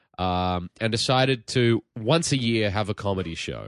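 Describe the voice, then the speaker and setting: A man speaks with an Australian accent. The sound is dry and close with no echo, over a quiet background. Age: 30s. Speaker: touring comedian, podcast guest.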